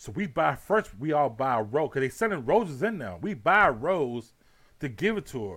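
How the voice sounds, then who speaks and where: A man with an American accent at a fairly quick pace, his pitch swinging very widely, on a very clean recording with a silent background. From Houston, Texas. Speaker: podcast host. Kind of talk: casual chat.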